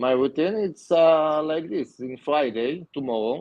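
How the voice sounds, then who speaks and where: Very slow speech from a man with a non-native accent and ordinary pitch variation. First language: not English. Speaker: aquascaper and aquatic plant grower. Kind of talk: casual interview. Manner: halting.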